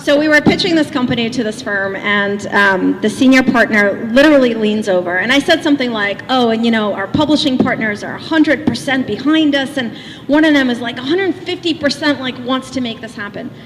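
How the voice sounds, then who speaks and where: Noticeable background noise sits under a woman's high-pitched voice. She talks at a fairly quick pace with lively intonation. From Russia (Leningrad). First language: Russian. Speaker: motivational speaker. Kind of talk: keynote speech. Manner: animated.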